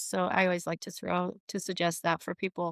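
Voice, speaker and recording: A woman's plain, everyday voice at medium pitch and a fairly quick pace, on a very clean recording with a silent background. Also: dry, close sound with no echo. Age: 60s. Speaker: podcast guest, author and coach. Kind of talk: casual interview chat.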